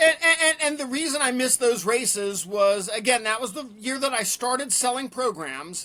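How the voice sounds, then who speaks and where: A raised, projected voice speaks at a moderate pace with ordinary pitch variation over noticeable background noise. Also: man, extremely high pitch for a man. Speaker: race announcer. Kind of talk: podcast interview answer.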